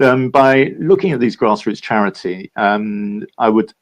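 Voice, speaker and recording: With a London accent, a man talks at a fairly slow pace in a medium pitch with ordinary pitch variation. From London, England. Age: 70s. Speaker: philanthropist and entrepreneur. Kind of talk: interview. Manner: halting, many fillers.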